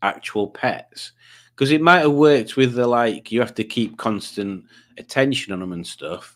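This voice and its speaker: A man at a medium pitch and moderate pace, lively in intonation, with big swings in loudness, on a very clean recording with a silent background. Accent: Yorkshire. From Yorkshire, northern England. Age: 50s. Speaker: quiz show host streamer. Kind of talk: casual livestream chat.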